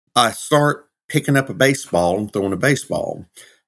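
A man talks with a Southern US accent. The recording is very clean, and the background is silent. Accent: Southern US (Georgia). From US South, Georgia. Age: 50s. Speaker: minister and former pro wrestler. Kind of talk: casual interview. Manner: animated.

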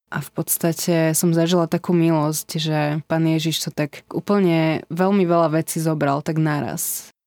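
Very clean and recorded against a silent background, the voice moves at a fairly slow pace with monotone, flat intonation and very even loudness. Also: woman, fairly low pitch for a woman, dry, close sound with no echo. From Slovakia, Senec. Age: 20s. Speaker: embassy political secretary sharing faith story. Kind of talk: testimony. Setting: studio.

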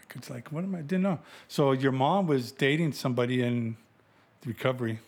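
A man speaks in a plain, everyday voice at a medium pitch and a fairly quick pace, with ordinary pitch variation. His loudness swings widely. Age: 50s. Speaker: host's father, truck driver. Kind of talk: casual family interview. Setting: at home.

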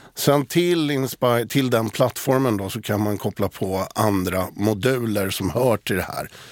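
A man in a normal speaking voice of medium pitch talks at a fairly slow pace with hardly any pauses and ordinary pitch variation, the sound dry and close with no echo. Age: 60s. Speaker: digital communication specialist. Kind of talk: casual chat. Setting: studio.

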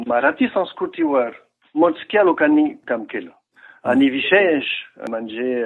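Using lively intonation, a man speaks at a fairly high pitch. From France. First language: French (speaking Marathi). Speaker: researcher and French teacher. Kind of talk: interview. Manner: halting.

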